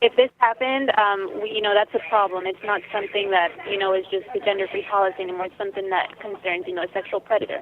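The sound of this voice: A woman talks fast with few pauses, at a medium pitch. Her intonation stays fairly even.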